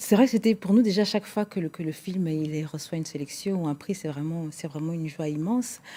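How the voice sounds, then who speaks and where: A Portuguese accent at a moderate pace, over noticeable background noise. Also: woman. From Portugal, Angolan-born, later Alsace. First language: Portuguese (speaking French). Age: young. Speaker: singer. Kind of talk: TV interview. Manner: halting.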